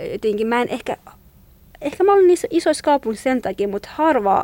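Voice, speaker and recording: The recording has a dry, close sound with no echo. A woman speaks at a high pitch with very wide pitch swings. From Iranian Kurdistan. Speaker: food blogger. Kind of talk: interview. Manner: halting.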